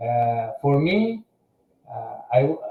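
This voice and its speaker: The man's pitch sits in the middle range and varies a normal amount. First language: French. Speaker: aircraft maintenance engineer. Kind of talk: interview. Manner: halting, many fillers.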